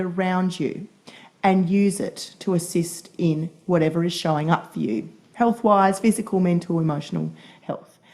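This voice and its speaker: Somewhat breathy, a woman's voice moves with ordinary pitch variation. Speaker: podcast co-host. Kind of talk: casual chat.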